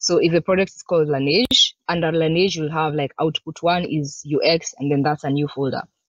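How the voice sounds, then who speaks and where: A woman talks at a moderate pace in a very deep, low voice, with fairly even intonation and hardly any pauses. The sound is dry with no echo, and the background is quiet. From Kenya. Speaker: UX design manager; presenter. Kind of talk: conference talk. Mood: relaxed, informal. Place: home room. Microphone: webcam.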